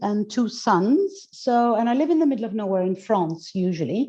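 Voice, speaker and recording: Against a quiet background, a woman with a fairly high pitch speaks in a somewhat breathy, dark, mellow tone with lively intonation. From Greece. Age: 50s. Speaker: mindset coach and goddess teacher. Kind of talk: interview conversation. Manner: halting, with many fillers and repetitions.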